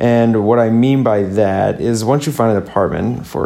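Someone with a Midwestern accent speaks over noticeable background noise. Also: man. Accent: general American Midwest. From US Midwest. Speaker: podcast host. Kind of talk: solo podcast monologue. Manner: casual, chatty.

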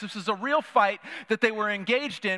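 Recorded in a dry, close sound with no echo, a man speaks in a raised, projected voice with ordinary pitch variation. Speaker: pastor. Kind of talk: sermon. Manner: hesitant, many fillers.

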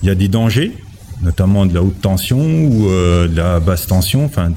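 His pitch swings very widely. The man speaks at a moderate pace. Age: 40s. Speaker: industrial maintenance technician. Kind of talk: interview answers.

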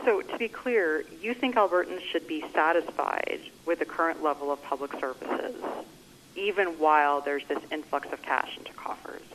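In a normal speaking voice, a woman talks with a Canadian accent at a fairly low pitch. Her pace is moderate and her intonation lively. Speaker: journalist. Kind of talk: press conference questions. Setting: phone call.

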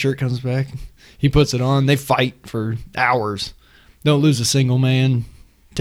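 The plain reading aloud keeps a fairly even intonation throughout.

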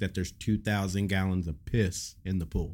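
Over a silent background in a very clean recording, a man with a fairly low pitch and an ordinary speaking voice talks at a moderate pace with fairly even intonation. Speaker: podcast co-host. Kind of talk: casual banter, crude humor.

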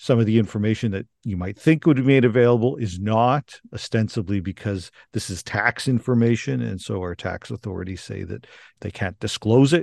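A man with an ordinary speaking voice speaks at a moderate pace in a medium pitch with a Canadian accent. The background is quiet, and the sound is dry and close with no echo. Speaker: law professor. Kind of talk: interview.

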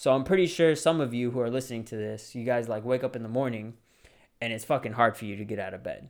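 Here a man talks fairly quickly at a medium pitch. He has an ordinary speaking voice. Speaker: podcast host, aspiring real estate agent. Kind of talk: motivational talk. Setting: solo recording at a mic. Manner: casual, conversational.

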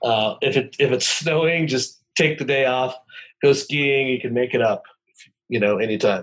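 In a plain, everyday voice, a man with an American accent speaks at a medium pitch and moderate pace with ordinary pitch variation. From rural Montana. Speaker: tech company founder and CEO. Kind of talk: interview.

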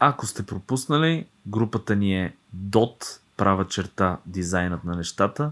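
With a normal speaking voice, a man talks at a fairly slow pace in a fairly low pitch with lively intonation, on a very clean recording with a silent background. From Bulgaria, Dragoman. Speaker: podcast co-host, designer. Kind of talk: casual chat.

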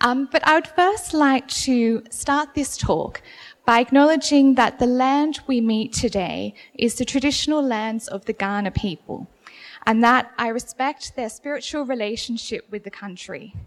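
With an Australian accent, a woman speaks fairly slowly in a high pitch with ordinary variation. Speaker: museum curator giving a gallery talk. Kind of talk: public talk. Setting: gallery room with audience, poor acoustics, no PA. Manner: slow and clear.

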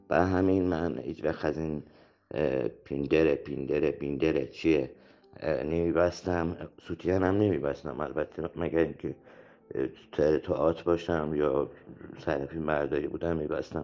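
A man speaks at a fairly slow pace with very deep, low pitch and vocal fry. His intonation stays fairly even, broken by long, frequent pauses. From Iran, Shahrud. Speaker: theatre actor and director. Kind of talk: interview.

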